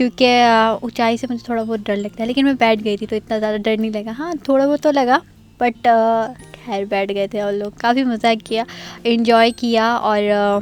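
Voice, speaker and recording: Music plays in the background as a woman talks with fairly even intonation at a fairly high pitch. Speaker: vlogger. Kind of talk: travel vlog narration. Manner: hesitant, many fillers.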